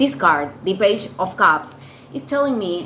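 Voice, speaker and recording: A woman with a non-native accent talks at a fairly slow pace over noticeable background noise. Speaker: tarot reader. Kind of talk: tarot reading. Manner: halting, many fillers and repetitions.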